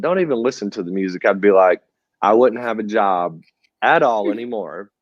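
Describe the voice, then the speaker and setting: A man's fairly low voice with a Southern US accent. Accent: Southern US (Georgia). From US South, rural north Georgia. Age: 30s. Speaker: church drummer, musician. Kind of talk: casual interview.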